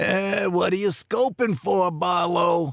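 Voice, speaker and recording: A put-on character voice at a fairly slow pace with ordinary pitch variation. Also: man, dry, close sound with no echo. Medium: audio drama. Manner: gruff, hesitant.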